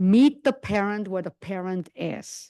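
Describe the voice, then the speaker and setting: A woman's medium-pitched voice, dark and mellow, at a fairly slow pace against a quiet background. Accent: non-native. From outside English-speaking world. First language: not English. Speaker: psychiatry lecturer. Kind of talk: lecture.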